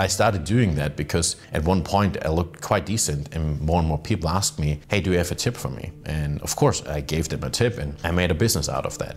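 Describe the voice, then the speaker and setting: At a very fast pace, a man with a German accent speaks in a very deep, low pitch with ordinary pitch variation over noticeable background noise. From Germany. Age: 30s. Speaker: fitness entrepreneur and YouTuber. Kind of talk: personal story vlog.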